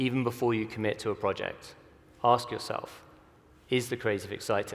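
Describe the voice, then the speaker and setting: Here a man talks. His voice falls at a medium pitch. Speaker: creative director at a visual effects studio. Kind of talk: conference talk. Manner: fast.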